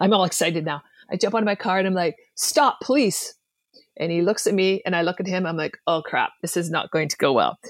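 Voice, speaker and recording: A woman with a Canadian accent speaks in an ordinary speaking voice at medium pitch, with ordinary pitch variation and a fairly quick pace. The sound is dry and close with no echo, on a very clean recording with a silent background. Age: 40s. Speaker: e-commerce seller and former police officer. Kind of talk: interview.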